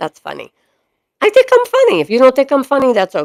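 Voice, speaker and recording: A woman speaks in a Boston accent. The sound is dry and close, with no echo. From Boston area (Chelsea), Massachusetts. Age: 50s. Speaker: dog breeder and live streamer. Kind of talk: casual live stream chat. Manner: animated, over the top.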